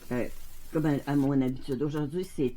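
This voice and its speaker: A woman with a Quebec accent has a very deep, low pitch and a dark, mellow tone, with fairly even intonation. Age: 70s. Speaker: resin crafter. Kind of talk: casual tutorial. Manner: halting, many fillers.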